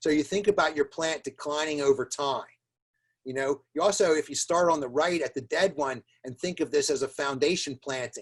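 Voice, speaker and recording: A man's normal speaking voice, fairly high in pitch, with ordinary pitch variation, a fairly quick pace and a dry, close sound with no echo. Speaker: plant pathologist. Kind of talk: webinar presentation. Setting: online webinar. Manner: repetitive fillers and restarts.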